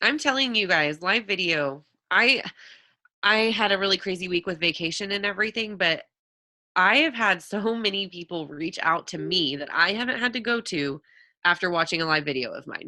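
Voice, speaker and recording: A woman's animated voice at medium pitch, with a bright, sharp tone. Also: lively intonation. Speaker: network marketing coach. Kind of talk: live webinar Q&A. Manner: fast.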